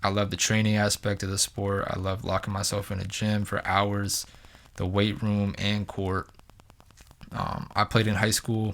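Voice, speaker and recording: A man's fairly low voice with monotone, flat intonation. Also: moderate pace. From New Hampshire, US. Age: 20s. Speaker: basketball performance coach and podcast host. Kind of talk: solo podcast monologue. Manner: casual, with frequent fillers and restarts.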